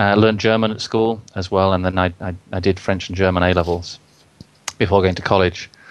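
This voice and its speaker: With fairly even intonation, a man speaks at a fairly quick pace in a very deep, low pitch. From Yorkshire, northern England. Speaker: language learning teacher, phonetics specialist. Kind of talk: interview. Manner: halting, with frequent repetitions.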